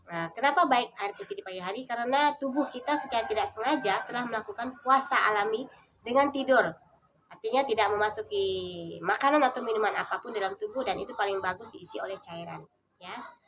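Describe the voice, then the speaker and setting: A woman talks at a very fast pace with a fairly high pitch and lively intonation. Her loudness swings widely. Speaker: vlogger. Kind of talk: casual vlog tutorial. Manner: hesitant with frequent fillers.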